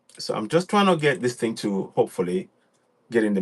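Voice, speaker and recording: A man with a Yoruba accent, fairly quick, with very wide pitch swings against a quiet background. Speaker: online radio host. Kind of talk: livestream broadcast. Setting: live online stream.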